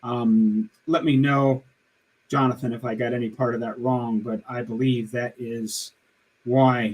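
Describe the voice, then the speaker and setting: A man speaks at a moderate pace and medium pitch. He has a normal speaking voice. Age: 60s. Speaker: diet channel host. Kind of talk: live stream Q&A. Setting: live stream. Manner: casual, conversational.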